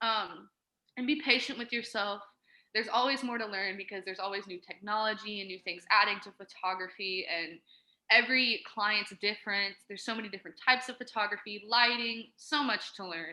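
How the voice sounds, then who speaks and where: At a fairly quick pace, a woman with a bright, sharp tone and medium pitch shows ordinary pitch variation and big swings in loudness. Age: 20s. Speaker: photographer. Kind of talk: casual interview. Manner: fast.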